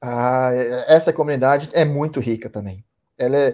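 A man's dark, mellow tone at a moderate pace, on a very clean recording with a silent background. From Ribeirão Preto, interior of São Paulo state, Brazil. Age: 30s. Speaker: sales manager, course student. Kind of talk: interview. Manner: hesitant, many fillers.

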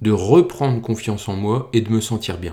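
A man speaks at a fairly slow pace with a fairly low pitch. His tone is dark and mellow, and the recording is very clean over a silent background. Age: 30s. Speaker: podcast host, amateur trail runner. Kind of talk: personal narrative, scripted.

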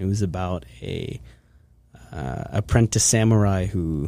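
A man with an American accent, fairly low pitch and a dark, mellow tone, on a very clean recording with a silent background. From US, Pennsylvania (Hershey). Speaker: film composer and university student. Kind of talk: casual interview chat. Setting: studio.

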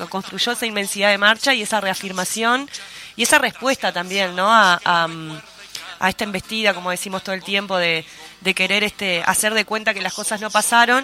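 With a Uruguayan accent, a woman speaks at a medium pitch against noticeable background noise. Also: fairly even intonation, fairly quick pace. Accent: Rioplatense Spanish (Uruguayan). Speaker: radio host. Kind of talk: casual chat.

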